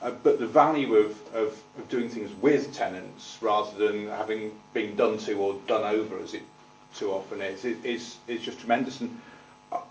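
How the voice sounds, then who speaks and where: Music plays behind a man speaking at medium pitch and a moderate pace. His intonation is fairly even, and room echo is audible. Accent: Manchester. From Manchester, northern England. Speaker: tenant management organisation representative. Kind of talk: committee meeting testimony. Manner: halting, many repetitions.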